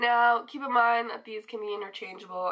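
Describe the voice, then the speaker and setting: Bright and sharp in tone, a woman's fairly high voice shows ordinary pitch variation. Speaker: YouTuber. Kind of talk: casual vlog talk.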